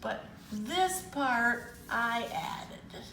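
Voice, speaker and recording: Against noticeable background noise and audible room echo, a woman with an American accent speaks at a high pitch with lively intonation. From US Midwest, rural Illinois near Rockford. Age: 80s+. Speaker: senior painting student. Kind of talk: casual interview. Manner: halting.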